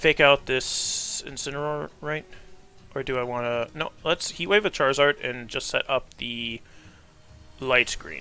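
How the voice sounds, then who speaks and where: With music in the background, a man speaks at a fairly slow pace in a fairly high pitch, with ordinary pitch variation. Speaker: gaming commentator. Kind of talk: live gameplay commentary. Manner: casual.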